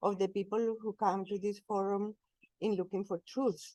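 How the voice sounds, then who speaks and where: A woman with a Colombian accent, medium in pitch, her tone dark and mellow, recorded dry and close with no echo. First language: Spanish. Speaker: spiritual speaker, cleric. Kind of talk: talk at interfaith forum. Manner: slow, deliberate.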